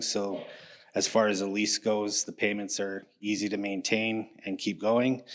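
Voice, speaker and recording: In a very clean recording with a silent background, a man with a Canadian accent speaks at a moderate pace, fairly low in pitch, with monotone, flat intonation. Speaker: builder pitching a deal to investors. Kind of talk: pitch presentation. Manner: mumbling; halting with fillers.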